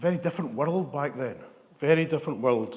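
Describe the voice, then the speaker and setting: In a West of Scotland accent, a man speaks fairly quickly with ordinary pitch variation amid audible room echo. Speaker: ambulance service leader. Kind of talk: conference talk. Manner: hesitant, many fillers.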